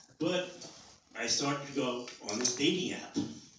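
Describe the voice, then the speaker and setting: A man with a New York accent, amid noticeable background noise and audible room echo. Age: 60s. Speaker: stand-up comedian. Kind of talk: stand-up. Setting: stage with audience.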